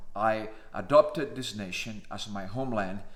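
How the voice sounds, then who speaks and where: There is audible room echo as a man speaks at a medium pitch. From Cuba. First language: Spanish. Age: 50s. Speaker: naturalized citizen vlogger. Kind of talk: personal monologue.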